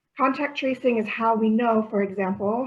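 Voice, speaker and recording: A woman's fairly even intonation comes through over noticeable background noise. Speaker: public health presenter. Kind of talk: informational presentation. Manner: fast.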